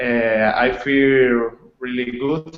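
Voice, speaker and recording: Medium in pitch, a man speaks with a Spanish accent. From Colombia. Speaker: online course student. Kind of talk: presenting research proposal in online class. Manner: hesitant, many fillers.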